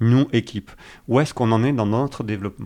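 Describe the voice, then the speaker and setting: A man talks at a medium pitch with ordinary pitch variation, captured in a very clean recording against a silent background. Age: 40s. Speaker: agile coach. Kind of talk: casual interview.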